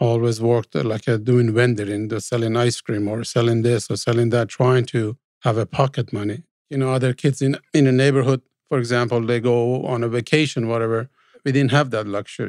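A man with a Persian accent speaks at a fairly quick pace in a medium pitch, with fairly even intonation and a dry, close sound with no echo. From Iran, Tehran. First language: Farsi. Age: 60s. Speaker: immigrant sharing life story. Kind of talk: interview storytelling. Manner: halting.

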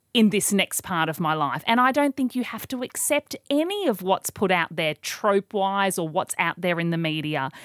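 In a very clean recording with a silent background, a woman speaks with a normal speaking voice at medium pitch. Her pace is moderate and her intonation lively. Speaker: radio presenter and author. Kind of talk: casual interview chat.

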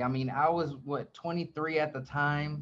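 With an American accent, a man talks at a fairly slow pace in a fairly high pitch, with ordinary pitch variation and an ordinary speaking voice. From US South, Atlanta, Georgia. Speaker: real estate team leader and YouTuber. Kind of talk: interview, casual chat.

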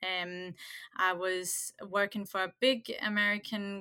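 In a very clean recording with a silent background, a woman with a medium-pitched, bright and sharp voice speaks at a very slow pace. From Denmark. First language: Danish. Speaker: cafe owner and business coach. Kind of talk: casual interview.

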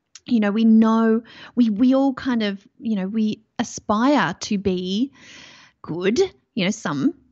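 Speaking fairly slowly in an Australian accent, a woman uses a fairly high, somewhat breathy voice with ordinary pitch variation. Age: 40s. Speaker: mindset coach. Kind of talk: interview podcast.

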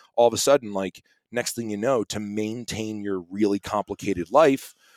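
A man with a plain, everyday voice, fairly low in pitch, talks at a fairly quick pace in a very clean recording with a silent background and a dry, close sound with no echo. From US East Coast. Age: 40s. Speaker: musician and entrepreneur. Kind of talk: casual chat.

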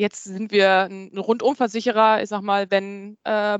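Speaking at a moderate pace, a woman has a medium pitch. The sound is dry and close with no echo, and the background is quiet. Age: 40s. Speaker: HR recruiter. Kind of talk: interview. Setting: video call from home.

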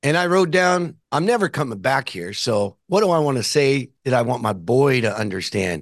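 A man with an American accent talks at a medium pitch and a moderate pace. His pitch swings very widely, with hardly any pauses. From California. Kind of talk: casual interview.

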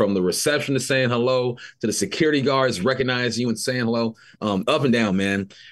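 A man with an American accent speaks at a fairly quick pace in a normal speaking voice, with medium pitch and ordinary pitch variation. The background is quiet. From Los Angeles area, California. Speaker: former NFL wide receiver, radio host. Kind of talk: casual sports chat. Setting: studio.

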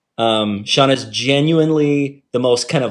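With a plain, everyday voice, a man talks at a moderate pace with ordinary pitch variation. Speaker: author. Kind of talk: casual interview chat. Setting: video call.

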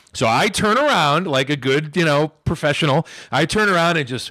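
A man's bright, sharp, animated voice, fairly high in pitch, with lively intonation at a moderate pace. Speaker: professional wrestler. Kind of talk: casual chat. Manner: animated storytelling.

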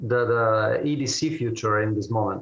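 A man with an Italian accent and fairly even intonation. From Italy, Turin. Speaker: engineering company manager. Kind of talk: interview.

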